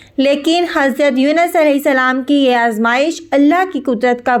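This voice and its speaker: This woman's pitch sits high and moves in an ordinary way. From Pakistan. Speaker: voice-over artist. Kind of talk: religious story narration.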